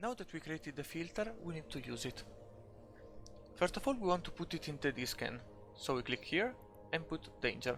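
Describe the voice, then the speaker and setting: With a non-native accent, a man speaks at a fairly quick pace with long, frequent pauses, his fairly high pitch making very wide swings. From Italy. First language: Italian. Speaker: video game tutorial maker. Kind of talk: screen-recorded game tutorial. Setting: home recording, poor audio.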